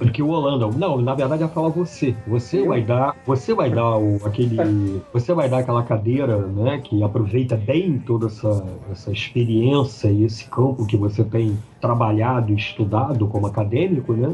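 This man talks at a moderate pace with hardly any pauses and very even loudness. His pitch is medium with ordinary variation, and there is noticeable background noise. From Brazil, Macaé (Rio de Janeiro state). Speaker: comic book artist. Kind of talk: casual interview. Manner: halting, repeats words.

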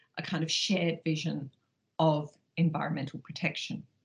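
A woman speaks with an Australian accent. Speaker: professor of law. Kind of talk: scripted educational talk.

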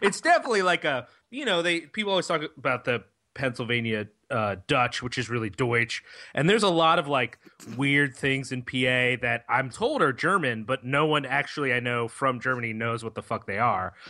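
A man's medium-pitched, unremarkable speaking voice with lively intonation and a fairly quick pace over a quiet background. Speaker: podcast co-host. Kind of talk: casual chat.

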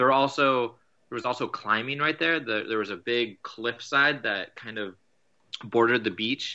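A man with a plain, everyday voice, medium in pitch, at a moderate pace with ordinary pitch variation. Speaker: guest sailor telling trip story. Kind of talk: casual storytelling.

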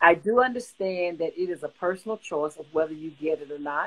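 A woman's fairly low voice, an ordinary speaking voice, with ordinary pitch variation and a moderate pace. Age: 60s. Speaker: covid survivor sharing her story. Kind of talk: testimony.

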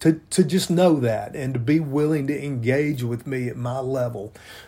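This man has an American accent and a medium pitch. His tone is dark, mellow and somewhat breathy, with fairly even intonation. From US South, Memphis, Tennessee. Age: 60s. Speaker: podcast co-host, pastor, army veteran. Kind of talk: casual chat.

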